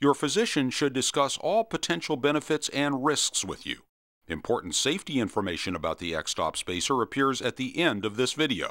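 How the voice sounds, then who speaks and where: With a bright, sharp tone and vocal fry, a man talks at a fairly quick pace in very wide pitch swings, recorded dry and close with no echo on a very clean, silent background. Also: medium pitch for a man. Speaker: narrator. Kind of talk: medical disclaimer read.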